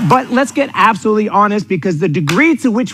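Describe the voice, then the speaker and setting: With a New York accent, a man talks at a fairly quick pace in an intense, energetic tone, his high pitch making very wide swings. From New York City. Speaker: sales coach. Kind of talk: motivational seminar talk. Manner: energetic, animated; direct, intense.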